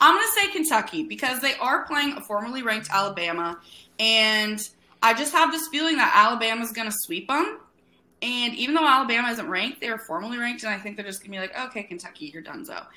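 Racing along at a very fast pace, a woman talks in a high, bright, sharp voice with lively intonation and big swings in loudness. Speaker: college baseball podcast host. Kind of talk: casual chat.

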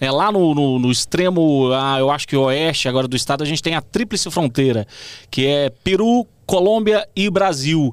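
An ordinary speaking voice from a man at a fairly high pitch, with lively intonation, very even loudness and a moderate pace, in a very clean recording with a silent background. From Goiânia, Brazil. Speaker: TV presenter and journalist. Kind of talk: casual interview chat.

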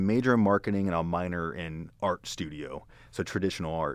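At a fairly quick pace, a man with a Pennsylvania accent speaks with lively intonation. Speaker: user experience designer. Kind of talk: casual interview chat.

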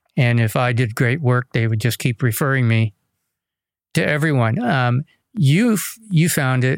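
Speaking in an unremarkable speaking voice at medium pitch and a moderate pace, a man shows ordinary pitch variation on a very clean recording with a silent background and a dry, close sound with no echo. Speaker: podcast host. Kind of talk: podcast interview. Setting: studio.

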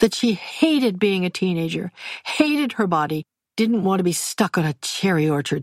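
The background is quiet as the speaker reads aloud in a natural voice with lively intonation.

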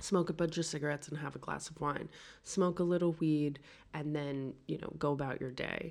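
Speaking at a fairly quick pace with fairly even intonation, a woman has a very deep, low pitch on a very clean recording with a silent background. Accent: New York. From New York City. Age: 40s. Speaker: podcast guest. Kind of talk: casual chat. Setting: apartment in Paris.

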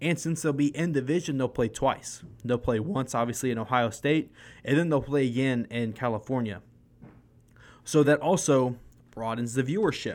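On a very clean recording with a silent background, a man with a plain, everyday voice speaks at a medium pitch and a moderate pace with ordinary pitch variation. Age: 20s. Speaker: sports podcast host. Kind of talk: casual sports commentary monologue.

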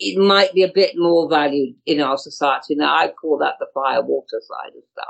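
Speaking with a British accent, a woman takes a fairly slow pace. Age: 70s. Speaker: astrologer and healer. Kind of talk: interview.

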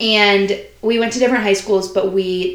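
Against noticeable background noise, a woman speaks at medium pitch. Her pace is fairly slow and her intonation fairly even. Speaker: college student. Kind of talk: casual chat.

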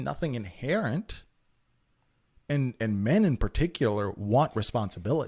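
An animated, somewhat breathy man's voice with very wide pitch swings, on a very clean recording with a silent background. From former Yugoslavia (Serbian), raised in US from age ten (Memphis). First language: Serbian. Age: 30s. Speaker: financial advisor. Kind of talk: casual interview.

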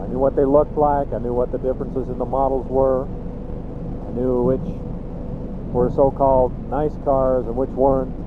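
A man with an American accent amid noticeable background noise and audible room echo. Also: hardly any pauses. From Utah, Cache Valley. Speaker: military pilot recording personal journal. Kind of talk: spoken diary. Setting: in a car, driving. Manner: slow, halting. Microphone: borrowed tape recorder, poor audio.

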